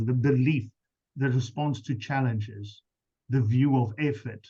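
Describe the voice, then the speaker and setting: A man with a South African accent, medium pitch, a somewhat breathy quality and a dark, mellow tone. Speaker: business coach. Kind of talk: webinar presentation.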